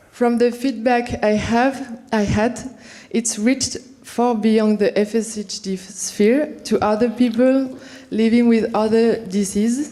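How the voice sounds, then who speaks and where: With a French accent, a woman talks at a fairly slow pace in a fairly high pitch, her intonation flat and monotone. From France. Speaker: visual artist. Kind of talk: reading a prepared talk at an event. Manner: halting, with many fillers and restarts.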